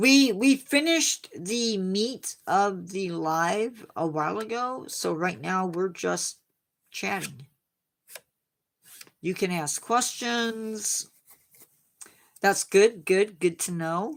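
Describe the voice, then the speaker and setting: With an American accent, a woman speaks at a medium pitch and a very slow pace. Her intonation is lively, broken by long, frequent pauses. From Indiana, US Midwest. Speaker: science livestream host. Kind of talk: casual chat with live chat viewers. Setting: livestream.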